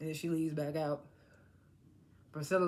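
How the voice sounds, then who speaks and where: Very fast and monotone, a woman speaks with flat intonation at a very deep, low pitch. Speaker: TV show reviewer. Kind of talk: casual recap review. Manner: casual, conversational.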